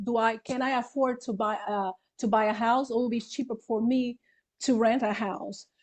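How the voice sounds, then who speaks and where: Against a quiet background, a woman with a Brazilian Portuguese accent speaks at a high pitch. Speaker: real estate broker. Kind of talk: interview. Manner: halting.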